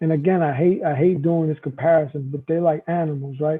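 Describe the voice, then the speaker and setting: At a moderate pace, a man talks in a fairly high pitch with fairly even intonation. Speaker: firefighter, former corrections officer. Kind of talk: casual interview conversation. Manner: loud.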